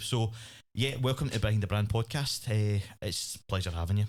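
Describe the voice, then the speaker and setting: A man speaks at a fairly quick pace in a plain, everyday voice, his pitch fairly low with ordinary variation, on a very clean recording with a silent background. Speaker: podcast host. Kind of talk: podcast interview host.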